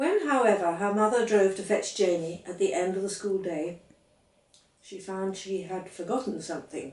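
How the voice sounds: A woman speaks at a moderate pace and medium pitch, her tone slightly mellow, with ordinary pitch variation and audible room echo around her.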